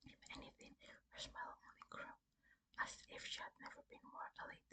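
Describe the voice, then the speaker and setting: Someone whispers at a moderate pace. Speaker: ASMR creator. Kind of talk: soft whispered horror story reading for sleep. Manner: soft, whispering, relaxing.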